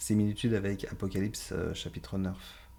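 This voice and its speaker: Amid audible room echo, a man speaks at a fairly slow pace in a fairly low voice with a dark, mellow tone. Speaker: Bible teacher. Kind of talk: Bible study lecture.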